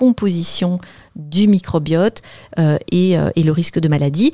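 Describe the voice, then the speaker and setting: Her fairly low voice, dark and mellow in tone with ordinary pitch variation, moves very slowly in a dry, close sound with no echo. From northern France. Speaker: dietitian and author. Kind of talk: radio interview. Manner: precise, few gestures.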